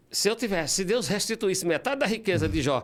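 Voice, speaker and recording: A man with vocal fry talks at a fairly quick pace. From São Paulo, Brazil (born in Ceará, moved at 7). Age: 60s. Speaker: classical guitarist and composer. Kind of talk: interview. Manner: halting.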